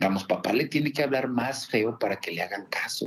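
A man speaks with lively intonation. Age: 50s. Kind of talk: interview. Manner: halting.

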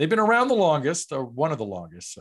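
A man with an American accent and very wide pitch swings, on a very clean recording with a silent background. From New York. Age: 50s. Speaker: franchise broker. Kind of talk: interview.

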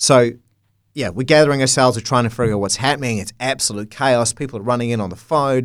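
A man with a New Zealand accent talks at a very fast pace and medium pitch with ordinary pitch variation, in a very clean recording with a silent background. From New Zealand, North Canterbury. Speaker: TV journalist. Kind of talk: interview. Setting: studio.

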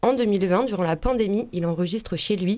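Ordinary pitch variation runs through a woman's voice, whose tone is dark and mellow. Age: young. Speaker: radio columnist. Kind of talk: radio segment.

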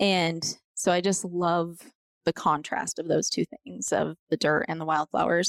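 Her voice is a plain, everyday voice, fairly low for a woman, with an American accent. She speaks at a fairly slow pace with fairly even intonation. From Colorado (Montrose). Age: 40s. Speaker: author and former teacher. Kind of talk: casual chat.

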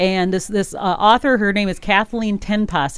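This woman talks at a moderate pace with an Upper Midwest US accent and a medium pitch. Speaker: radio host. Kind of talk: casual radio chat. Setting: radio studio.

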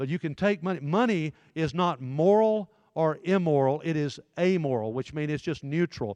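Lively intonation in a Southern US accent over a quiet background. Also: man, fairly high pitch for a man, moderate pace, dry, close sound with no echo. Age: 60s. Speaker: pastor. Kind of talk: sermon-style talk to teenage boys. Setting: church room with live audience. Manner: forceful, in-your-face.

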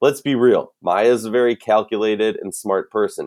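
A man with a Minnesotan accent at a moderate pace. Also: very clean recording, silent background. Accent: Minnesota. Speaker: sports podcast host. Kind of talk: casual sports analysis chat. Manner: casual, jokey, enthusiastic.

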